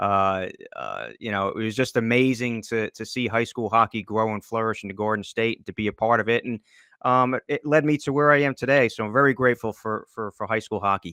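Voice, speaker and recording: A man in a New Jersey accent at medium pitch, bright, sharp tone, fairly even intonation and fairly quick pace, with a dry, close sound with no echo and a quiet background. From northern New Jersey, US. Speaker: hockey journalist and draft analyst. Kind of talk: podcast interview. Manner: halting, many fillers and repeats.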